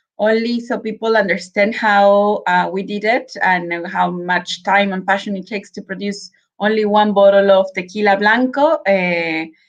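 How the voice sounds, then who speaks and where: A medium-pitched woman's voice with a Mexican accent, a moderate pace, fairly even intonation, and hardly any pauses. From Mexico, Guadalajara, Jalisco. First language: Spanish. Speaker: spirits brand representative. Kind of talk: virtual tasting presentation. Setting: live video stream.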